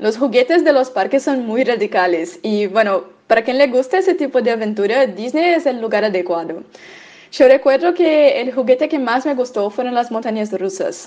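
This woman has a high-pitched voice and lively intonation. She talks at a moderate pace. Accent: Portuguese. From Brazil. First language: Portuguese (speaking Spanish). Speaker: medical student. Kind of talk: prepared testimony.

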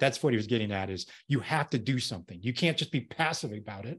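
A man with an American accent has a normal speaking voice and lively intonation. The background is quiet. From Colorado, US. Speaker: consultant and former navy pilot. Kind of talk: casual interview.

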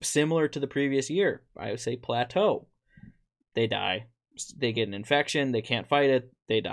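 A man with an ordinary speaking voice on a very clean recording with a silent background. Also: medium pitch for a man, ordinary pitch variation, moderate pace. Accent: American. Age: 20s. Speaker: podcast host, deer farmer. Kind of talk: casual chat. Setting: studio with video.

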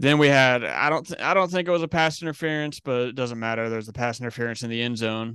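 Very fast American-accented speech from a medium-pitched man, bright and sharp in tone, with hardly any pauses. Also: ordinary pitch variation. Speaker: sports podcast co-host. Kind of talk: casual chat.

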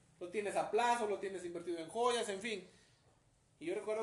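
A man talks with noticeable background noise and audible room echo around him. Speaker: wheelchair user sharing life story. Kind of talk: casual interview.

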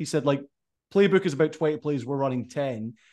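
Over a quiet background, a man with a Scottish accent speaks very fast in a fairly high voice. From Scotland. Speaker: podcast host. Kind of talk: casual interview.

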